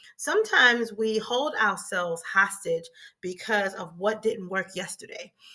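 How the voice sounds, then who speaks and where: Here a woman speaks at a moderate pace with lively intonation. Her tone is bright and sharp. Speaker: life coach. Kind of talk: motivational talk. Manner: informal, conversational.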